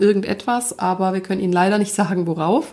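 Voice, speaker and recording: At a moderate pace and medium pitch, a woman speaks in an ordinary speaking voice. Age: 30s. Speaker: podcast host and life coach. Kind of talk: personal monologue.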